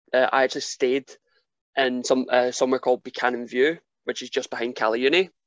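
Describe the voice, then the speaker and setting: Very fast, fairly even-toned speech from a man with a Glasgow accent, medium in pitch, in a dry, close sound with no echo. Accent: Scottish (Glasgow area). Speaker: professional wrestler. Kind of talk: casual chat.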